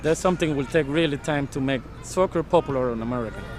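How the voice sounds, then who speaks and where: A man speaks at a fairly quick pace with ordinary pitch variation while music plays behind him. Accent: Spanish. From Panama. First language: Spanish. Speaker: soccer referee. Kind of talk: interview.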